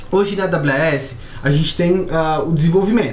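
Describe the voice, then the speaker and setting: A woman speaks amid noticeable background noise. The room echo is audible. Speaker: software company presenter. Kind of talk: software tutorial. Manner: casual.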